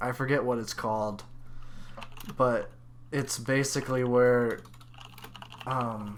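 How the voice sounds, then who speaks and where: A man speaks very slowly at medium pitch, his intonation monotone and flat. Long, frequent pauses break his speech, and room echo is audible. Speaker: podcast co-host. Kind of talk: casual chat. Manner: halting.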